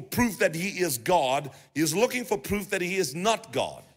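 Over a silent background in a very clean recording, a man talks at a fairly slow pace with very wide pitch swings. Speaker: pastor. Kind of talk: sermon. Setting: church. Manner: repetitive stammering restarts.

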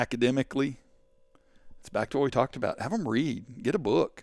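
In a very clean recording with a silent background, a man with an East Texas accent talks at a medium pitch and a fairly quick pace. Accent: East Texas Southern. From East Texas (Canton). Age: 50s. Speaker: school administrator and teacher. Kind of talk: casual interview chat.

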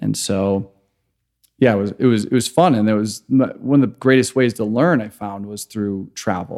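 This man has an unremarkable speaking voice, with an American accent. He keeps a moderate pace at a fairly low pitch with ordinary pitch variation. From US Midwest, Chicago. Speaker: microgreens entrepreneur, former software worker. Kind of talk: casual roundtable chat.

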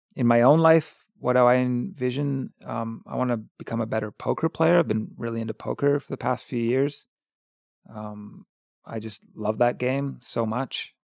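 A man with a Canadian accent has an unremarkable speaking voice, medium in pitch with ordinary pitch variation. He keeps a moderate pace, and the sound is dry and close with no echo. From Victoria, Canada. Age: 40s. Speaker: artist. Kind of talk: casual chat.

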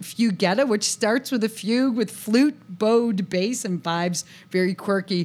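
Here is a woman with a plain, everyday voice and an American accent. Her pitch is fairly high and her pace moderate. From US, western New York near Buffalo. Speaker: saxophone teacher and podcast co-host. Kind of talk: casual chat.

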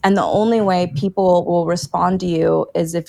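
The voice carries a Texan accent. Its pace is moderate. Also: woman. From Texas. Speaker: political candidate. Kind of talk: interview.

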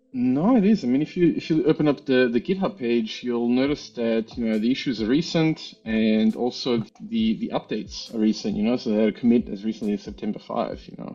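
A man with an Australian accent speaks at a fairly quick pace with lively intonation. He takes hardly any pauses. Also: medium pitch for a man. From Australia, Melbourne. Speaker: engineer and software user. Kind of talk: technical tutorial demo.

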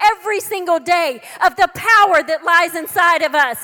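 An extremely high-pitched woman with an American accent, raised and projected at a fairly quick pace, animated in tone with ordinary pitch variation. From Texas. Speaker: preacher and author. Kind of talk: sermon. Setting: church service with audience.

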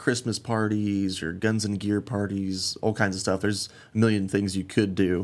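A man talks in a monotone, with flat intonation. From western Colorado (Glenwood Springs). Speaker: conservation group volunteer chairman. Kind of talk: casual interview. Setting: studio.

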